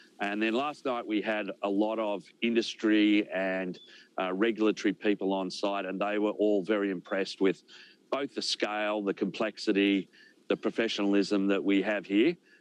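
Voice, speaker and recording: A man with an Australian accent talks with fairly even intonation. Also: fairly low pitch for a man, moderate pace, dry, close sound with no echo. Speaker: space company executive. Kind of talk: news interview.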